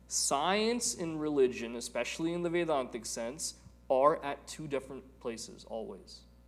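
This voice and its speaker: A man's fairly high-pitched voice with lively intonation at a moderate pace, in audible room echo. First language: Telugu. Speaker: spiritual teacher. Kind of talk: lecture.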